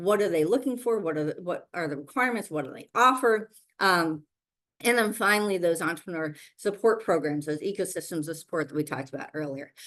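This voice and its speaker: A woman with a fairly low pitch talks very fast, her lively intonation paired with big swings in loudness. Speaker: virtual summit host and event organizer. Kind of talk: webinar presentation with slides. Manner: filler-heavy, repetitive restarts.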